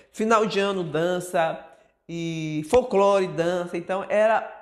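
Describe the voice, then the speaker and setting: A woman is talking. Her pace is very slow. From Brazil, Bahia (Feira de Santana). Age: 60s. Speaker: dancer and choreographer. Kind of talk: documentary interview. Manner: conversational, frequent fillers.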